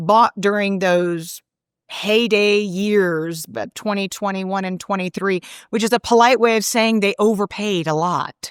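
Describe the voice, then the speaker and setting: With an American accent, a woman at a medium pitch speaks at a fairly slow pace, on a very clean recording with a silent background and a dry, close sound with no echo. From Connecticut, US Northeast. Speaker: economist, former central bank advisor. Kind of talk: interview. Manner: animated.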